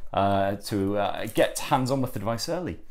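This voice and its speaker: A man speaks with a northern English accent. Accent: northern English twang. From northern England. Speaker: tech reviewer. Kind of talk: unboxing review. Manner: halting, many fillers.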